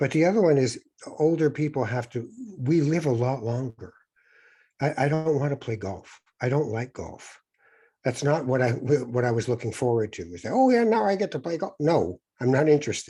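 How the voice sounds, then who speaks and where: A man's medium-pitched voice with a Canadian accent, somewhat breathy and dark and mellow in tone, with lively intonation at a fairly quick pace, against a quiet background. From Canada. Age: 60s. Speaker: author, former broadcaster and spiritual guide. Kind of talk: interview.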